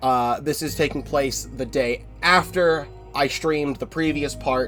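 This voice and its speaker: Music can be heard behind the speech. A man talks fairly slowly. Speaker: gaming streamer. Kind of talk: let's play commentary. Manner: casual.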